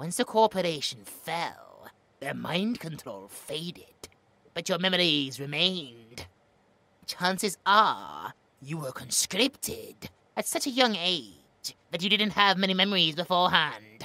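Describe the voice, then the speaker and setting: Using a put-on character voice, a female-sounding speaker talks at a middle pitch and a fairly slow pace. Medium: audio drama. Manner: smug, mocking.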